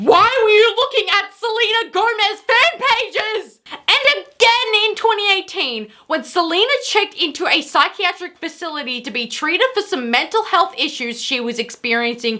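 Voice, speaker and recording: A woman speaks loudly at a fairly slow pace in an extremely high pitch. Her tone is bright and sharp, with very wide pitch swings. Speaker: YouTube commentary creator. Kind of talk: commentary vlog. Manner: quieter than usual.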